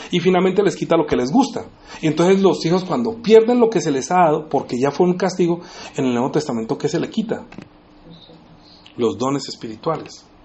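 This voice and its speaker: A man in a high pitch with lively intonation at a fairly quick pace, with long, frequent pauses and audible room echo. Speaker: preacher. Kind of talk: sermon. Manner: fast.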